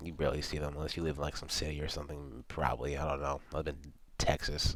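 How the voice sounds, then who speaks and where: A man's voice, edged with vocal fry, races along at a very fast pace. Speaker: college student. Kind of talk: class presentation. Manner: halting.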